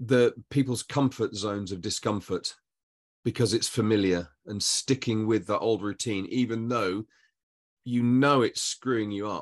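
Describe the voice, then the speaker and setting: A man's unremarkable speaking voice at medium pitch, moderate in pace, with fairly even intonation against a quiet background. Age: 50s. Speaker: podcast host. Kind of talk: casual chat.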